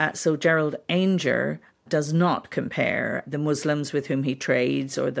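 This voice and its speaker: A woman's moderately paced speech is captured in a very clean recording against a silent background. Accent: Northern Irish. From Northern Ireland (Belfast). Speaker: historian. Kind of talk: interview.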